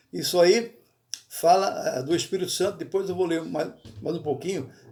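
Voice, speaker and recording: At a moderate pace, a man speaks in a high voice with a dark, mellow tone and ordinary pitch variation, with audible room echo. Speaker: pastor. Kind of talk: bible study sermon. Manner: halting, self-correcting.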